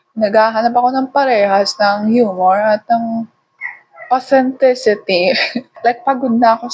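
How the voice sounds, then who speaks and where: The woman talks at a fairly slow pace. Her pitch is fairly high, with ordinary variation. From Philippines, Tagalog-speaking family. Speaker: vlogger. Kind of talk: casual vlog monologue. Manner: rambling chatty yapping.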